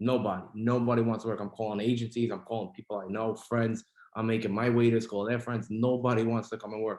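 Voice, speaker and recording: With a New York accent, a man of medium pitch rattles along at a very fast pace in a monotone, flat delivery. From New York City. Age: 20s. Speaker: restaurant owner. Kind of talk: casual chat.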